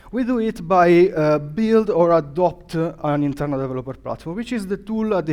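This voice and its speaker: A man talks at a moderate pace with an Italian accent. His intonation is lively. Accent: non-native English, Italian. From Italy. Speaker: developer advocate, conference speaker. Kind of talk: conference talk. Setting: stage with audience. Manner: halting, many fillers.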